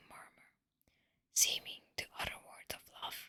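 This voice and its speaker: A woman is whispering. She speaks at a fairly slow pace. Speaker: ASMR artist. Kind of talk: whispered audiobook-style reading of literature. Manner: whispered, soft.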